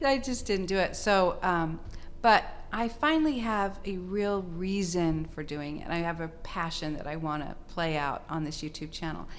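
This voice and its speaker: A woman with a fairly low pitch speaks at a moderate pace with lively intonation. Audible room echo is present. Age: 70s. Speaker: retired TV anchor and reporter. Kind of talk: casual chat.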